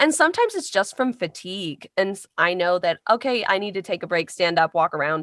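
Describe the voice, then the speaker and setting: A medium-pitched woman's voice with a Midwestern US accent, fairly quick and lively, hardly any pauses, in a dry, close sound with no echo. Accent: US Midwest. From US Midwest, Carmel, Indiana. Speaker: voice actor. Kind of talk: interview.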